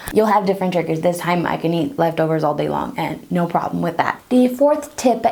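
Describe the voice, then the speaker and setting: A woman with a slight Brazilian accent. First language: Portuguese. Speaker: pregnancy tips vlogger. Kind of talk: casual tutorial. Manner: conversational, informal.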